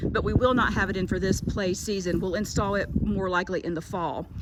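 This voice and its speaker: A woman talks at a medium pitch with noticeable noise in the background. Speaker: school administrator giving a tour. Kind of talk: walking tour video narration. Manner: casual, friendly.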